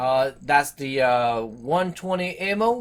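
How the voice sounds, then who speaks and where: A man with a French Canadian accent speaks with lively intonation. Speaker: tech reviewer. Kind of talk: product review to camera. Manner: fast.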